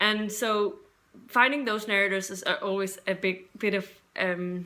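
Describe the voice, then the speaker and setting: A woman with a non-native accent speaks at a fairly slow pace and medium pitch. Her intonation is fairly even, and her tone is bright and sharp. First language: not English. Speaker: book YouTuber. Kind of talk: casual vlog talk. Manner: halting, unscripted.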